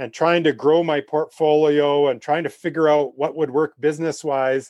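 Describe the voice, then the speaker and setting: A man with a Canadian accent and a fairly high pitch uses a plain, everyday voice at a fairly slow pace, with a quiet background and a dry, close sound with no echo. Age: 50s. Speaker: wildlife photographer. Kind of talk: interview.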